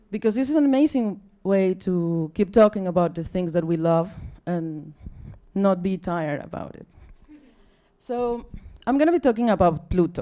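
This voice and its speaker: A woman with a Mexican accent speaks at a moderate pace and medium pitch, with a dark, mellow tone and lively intonation. Her loudness swings widely, and she leaves long, frequent pauses. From Mexico. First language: Spanish. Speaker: astronomy outreach officer. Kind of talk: public science talk. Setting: stage with audience. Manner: halting.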